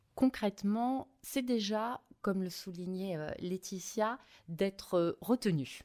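A woman's medium-pitched voice, dark and mellow in tone, at a very slow pace with ordinary pitch variation, dry and close with no echo, on a very clean recording with a silent background. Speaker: local government marketing director. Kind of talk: interview.

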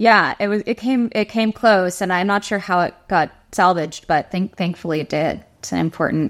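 A woman with an American accent and an unremarkable speaking voice, medium in pitch and fairly quick in pace, on a very clean recording with a silent background. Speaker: singer-songwriter. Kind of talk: casual chat.

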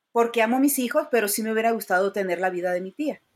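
On a very clean recording with a silent background, a woman speaks at a fairly high pitch. Her pace is fairly quick and her intonation lively. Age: 50s. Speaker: rideshare driver and comedian. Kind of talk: casual interview.

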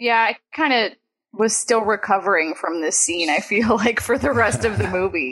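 Fairly high-pitched and with lively intonation, a woman speaks at a moderate pace in an ordinary speaking voice. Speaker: movie podcast host. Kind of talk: casual chat. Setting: video call.

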